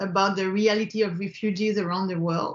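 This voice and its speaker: A woman talks in a Quebec accent. Her intonation stays fairly even. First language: French. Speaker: film director. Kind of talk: interview. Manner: halting, frequent repetitions and fillers.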